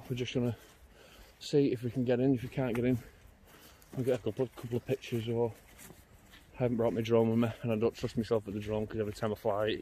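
A man's somewhat breathy, very fast delivery in a monotone, flat intonation, dry with no echo, over light background noise. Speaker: urban explorer vlogger. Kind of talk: casual vlog chat. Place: open country. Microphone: phone near.

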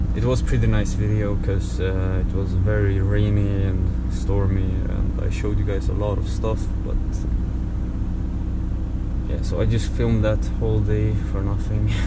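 A man talks at a moderate pace with ordinary pitch variation and long, frequent pauses. Loud background noise runs behind him. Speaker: truck driver vlogger. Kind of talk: casual vlog chat. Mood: relaxed, mildly annoyed. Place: car.

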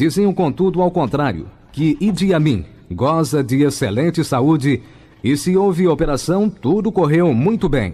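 Here a man speaks fairly slowly in a fairly high pitch with lively intonation. His tone is dark and mellow. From Brazil. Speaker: radio newsreader. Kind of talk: telegraphic hourly radio news bulletin, clipped headline sentences with sponsor reads. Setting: radio studio broadcast. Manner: crisp, brisk, formal announcer delivery; rhythmic, punchy headline cadence, articles dropped. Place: studio. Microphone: old recording.

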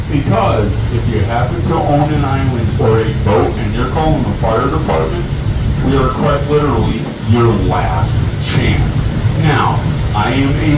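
Loud background noise and audible room echo surround a man talking at a moderate pace. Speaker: boat tour guide. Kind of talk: tour commentary. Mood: humorous, relaxed. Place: boat.

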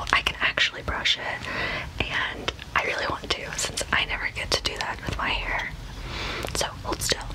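Whispering in a gentle tone, a woman speaks at a fairly slow pace. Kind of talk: roleplay chat to camera. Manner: soft, close, gentle ASMR speech. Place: home room. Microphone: phone near.

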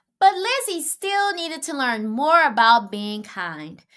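A woman speaks slowly at a high pitch, with big pitch swings. Her tone is fairly bright.

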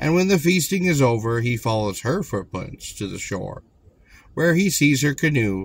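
A man speaks at a moderate pace in a dramatic, solemn tone, his somewhat breathy voice making very wide pitch swings in a dry sound with no echo. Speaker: audiobook narrator. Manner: measured, storyteller's cadence, dramatic and solemn. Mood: calm narrative tone. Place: car. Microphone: phone near.

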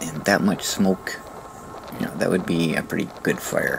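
A man speaks with a very deep, low pitch. Noticeable background noise runs behind him. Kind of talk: retrospective vlog narration. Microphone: phone near.

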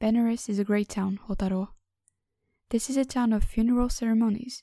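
At a fairly quick pace, a speaker with a non-native accent and a dark, mellow tone talks in monotone, flat intonation on a very clean recording with a silent background. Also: woman. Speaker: audiobook narrator. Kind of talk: reading aloud.

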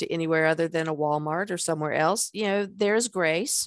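A woman at a fairly quick pace with lively intonation, dry sound with no echo and a quiet background. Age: 60s. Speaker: podcast host and life coach; podcast host or guest. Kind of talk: casual interview chat. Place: home room. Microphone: headset.

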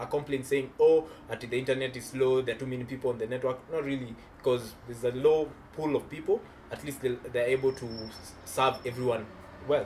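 Against light background noise, a man speaks fairly quickly at a medium pitch with fairly even intonation. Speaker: tech youtuber. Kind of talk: casual chat; angry rant. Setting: video recording. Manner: fired up, indignant, emphatic. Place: home room.

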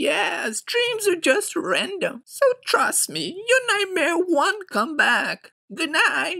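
In a cartoonish character voice, a woman speaks at an extremely high pitch with very wide pitch swings and a very slow pace. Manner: warm, amused, comforting.

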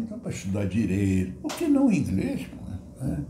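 A man's speech amid light background noise and audible echo from the room. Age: 70s. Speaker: former English student. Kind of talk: interview answer. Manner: casual, conversational. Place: home room.

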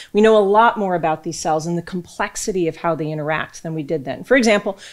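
Over a quiet background, a woman speaks at a very fast pace. Her pitch is fairly low and varies in an ordinary way. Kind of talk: lecture. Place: hall. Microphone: podium.

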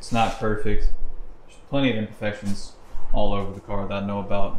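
The speech moves at a fairly quick pace. Audible room echo and light background noise come through. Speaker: car enthusiast vlogger. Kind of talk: casual vlog. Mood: relaxed, slightly hesitant. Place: garage. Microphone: phone near.

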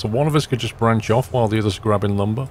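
A somewhat breathy male voice at medium pitch. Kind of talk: casual gaming chat with friends.

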